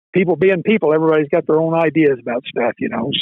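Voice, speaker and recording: A man with a high-pitched voice and an American accent, at a fairly quick pace. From Oregon, USA. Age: 70s. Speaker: retired hound hunter. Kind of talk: podcast interview answer. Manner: casual, halting, repetitive.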